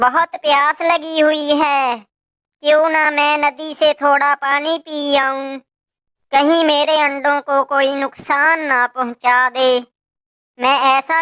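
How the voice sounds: A female-sounding voice in a cartoonish character voice pitched high. The pace is very slow.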